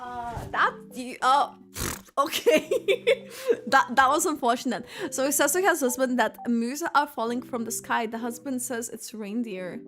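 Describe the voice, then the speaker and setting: A woman with a Lithuanian accent speaks at a fairly slow pace in a high-pitched, animated voice, with big swings in loudness and ordinary pitch variation. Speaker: gaming streamer. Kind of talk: casual livestream chat. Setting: livestream.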